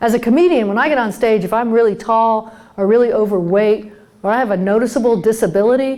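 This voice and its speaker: A woman talks at a very fast pace in a dark, mellow tone. Her pitch is fairly high, with ordinary variation. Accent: American. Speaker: comedian and keynote speaker. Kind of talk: humorous keynote talk to a live conference audience. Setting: live stage with audience. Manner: lively, conversational, comedic timing.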